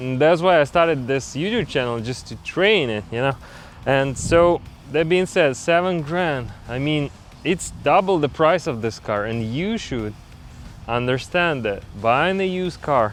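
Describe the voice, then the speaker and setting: The man's pitch sits fairly high. He talks at a fairly slow pace with lively intonation. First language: not English. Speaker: DIY mechanic YouTuber. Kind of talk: tutorial. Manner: halting.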